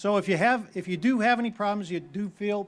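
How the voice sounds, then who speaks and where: The speaker has a Boston accent. The pace is fairly quick. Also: man. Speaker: town meeting moderator. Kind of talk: public meeting address. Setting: outdoors.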